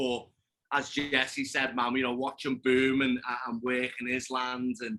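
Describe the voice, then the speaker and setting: Speaking at a fairly slow pace, a man with a Liverpool accent has a bright, sharp tone, medium pitch and fairly even intonation. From England, Liverpool. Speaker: podcast guest, hunter. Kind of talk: casual chat.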